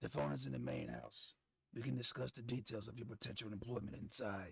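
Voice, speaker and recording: Raspy, growling and gravelly, a man's put-on character voice runs at a fairly low pitch and fairly quick pace. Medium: game stream. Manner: well-enunciated, formal, deadpan.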